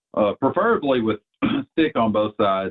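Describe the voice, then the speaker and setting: A man with a Southern US accent talks at a moderate pace in a fairly low voice. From Arkansas. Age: 30s. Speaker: bowhunter. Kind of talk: casual interview.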